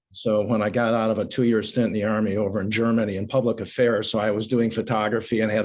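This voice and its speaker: A man's fairly low, monotone voice with flat intonation and hardly any pauses. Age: 70s. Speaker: aerial video company owner. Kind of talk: interview.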